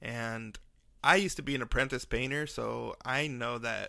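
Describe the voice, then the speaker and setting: On a very clean recording with a silent background, a man speaks at a moderate pace and medium pitch in a bright, sharp tone. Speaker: podcast host, brain bleed survivor. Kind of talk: personal storytelling podcast. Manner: slightly mumbled, effortful enunciation; casual, halting with fillers.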